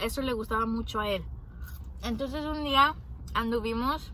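A woman speaks at a moderate pace with light background noise. The sound is dry with no echo. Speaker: vlogger. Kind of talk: casual vlog chat. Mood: grateful, reflective storytelling. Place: car. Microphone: phone near.

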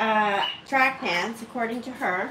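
Through loud background noise, a woman speaks with ordinary pitch variation. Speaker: pet channel host. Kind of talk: casual livestream chat. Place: kitchen.

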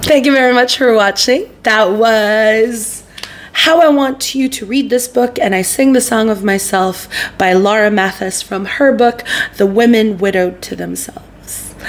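A woman's fairly high voice, fairly slow in pace, with ordinary pitch variation. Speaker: poetry podcast host. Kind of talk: poem reading, soft and earnest, after casual chatty intro. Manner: animated; chatty, laughing, self-interrupting. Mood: calm, warm, gentle. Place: home room.

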